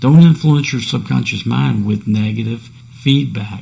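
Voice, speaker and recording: With noticeable background noise behind him, a man speaks at a fairly low pitch and a moderate pace. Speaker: podcast host. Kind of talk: solo podcast talk on self-improvement. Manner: casual, conversational.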